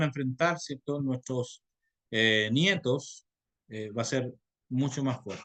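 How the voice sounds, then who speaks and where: Man's voice at a moderate pace with ordinary pitch variation, dry and close with no echo. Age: 50s. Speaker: pastor and theology teacher. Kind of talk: lecture. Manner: halting.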